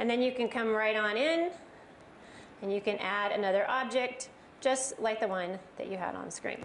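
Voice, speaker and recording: There is noticeable background noise and audible room echo as a woman with an American accent speaks at a fairly quick pace with ordinary pitch variation. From US West Coast, Los Angeles area. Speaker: software trainer presenter. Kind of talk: live tech presentation. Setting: stage with audience. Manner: animated.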